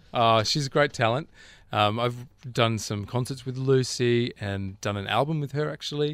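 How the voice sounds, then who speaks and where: A man talks at a moderate pace with an Australian accent. The recording is very clean and the background silent. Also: medium pitch for a man, ordinary pitch variation. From Australia, Canberra. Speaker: musical director. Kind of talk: interview. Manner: hesitant with fillers.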